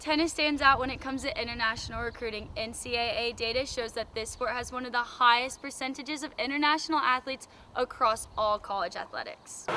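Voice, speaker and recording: Over noticeable background noise, a woman talks at a very fast pace with hardly any pauses. Her voice is high-pitched with fairly even intonation. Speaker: reporter. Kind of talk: TV news report.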